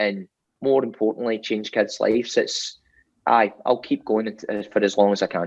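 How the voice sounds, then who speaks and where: Flat and monotone, a man speaks at a medium pitch. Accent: Scottish. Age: 40s. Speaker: roofing business owner. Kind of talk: interview.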